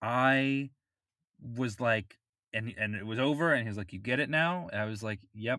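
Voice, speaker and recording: With an American accent, a man talks at a moderate pace in a bright, sharp tone, his medium pitch showing ordinary variation and broken by long, frequent pauses. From Florida. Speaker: podcast co-host and amateur musician (saxophone, clarinet). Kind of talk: casual chat.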